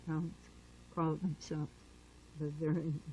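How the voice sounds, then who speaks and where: Fairly slow and somewhat breathy, a woman speaks at a very deep, low pitch with a dark, mellow tone. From Germany, Berlin. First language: German. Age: 70s. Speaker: Holocaust survivor. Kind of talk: oral history interview.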